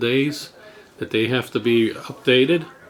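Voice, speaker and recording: A man speaks at a fairly slow pace. His pitch is medium, and noticeable background noise can be heard. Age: 60s. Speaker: drone hobbyist vlogger. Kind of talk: casual tutorial.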